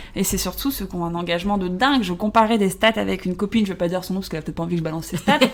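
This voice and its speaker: A woman's very fast speech with hardly any pauses, over noticeable background noise. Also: medium pitch for a woman, ordinary pitch variation. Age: 30s. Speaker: social media influencer. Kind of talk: casual chat. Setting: hotel room.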